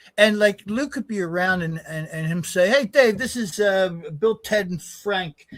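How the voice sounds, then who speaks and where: Here a man speaks at a high pitch. His pitch varies in an ordinary way. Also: moderate pace. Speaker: radio show guest. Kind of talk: casual chat. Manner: loud.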